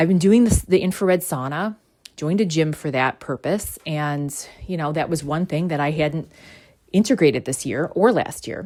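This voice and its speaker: Her very deep, low-pitched voice sounds animated, and the woman's pitch varies in an ordinary way. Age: 40s. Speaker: spiritual podcast host. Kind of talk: casual monologue. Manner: fast.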